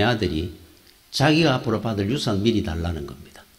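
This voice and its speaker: A fairly low-pitched, somewhat breathy male voice at a fairly quick pace. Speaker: pastor. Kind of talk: sermon.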